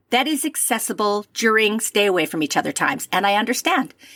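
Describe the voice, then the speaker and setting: A woman with a fairly high pitch and lively intonation, in a dry, close sound with no echo. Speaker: podcast host. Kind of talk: casual chat. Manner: animated.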